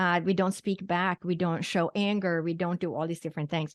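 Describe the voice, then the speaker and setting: A woman speaks at a moderate pace with a fairly low pitch in an unremarkable speaking voice. The sound is dry and close with no echo, over a quiet background. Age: 60s. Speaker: physician and psychic medium. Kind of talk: interview.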